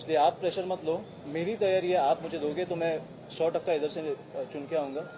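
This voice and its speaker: A man with a Marathi accent speaks with a fairly high pitch and fairly even intonation, over noticeable background noise. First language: Marathi (speaking Hindi). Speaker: politician, election candidate. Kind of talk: press conference Q&A. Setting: press conference with reporters. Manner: halting, with filler sounds.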